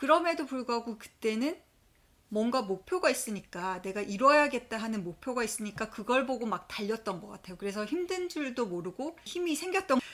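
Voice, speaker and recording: A woman speaks at a fairly quick pace in a fairly high pitch. Her pitch swings very widely and her loudness shifts a lot. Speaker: accountant vlogger. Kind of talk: personal vlog storytelling. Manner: conversational.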